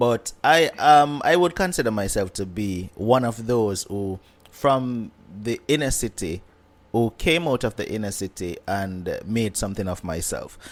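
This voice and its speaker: In a Jamaican accent, a man with a medium pitch talks at a fairly slow pace with lively intonation. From Kingston, Jamaica. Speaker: YouTube content creator. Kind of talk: interview conversation.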